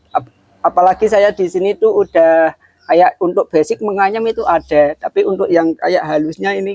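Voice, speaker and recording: Dry, close sound with no echo, a man speaking at a moderate pace. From Kudus, Central Java, Indonesia. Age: 20s. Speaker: young craftsman. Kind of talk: interview. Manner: casual.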